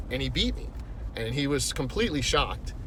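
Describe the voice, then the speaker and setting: A man at a moderate pace, with audible room echo. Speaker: golf vlogger. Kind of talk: casual vlog monologue. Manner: rambling, halting with fillers.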